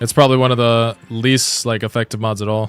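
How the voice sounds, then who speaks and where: With music in the background and a dry, close sound with no echo, a man talks at a very fast pace and medium pitch with fairly even intonation. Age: 20s. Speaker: gaming streamer. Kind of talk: live stream casual chat. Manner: casual, filler-heavy.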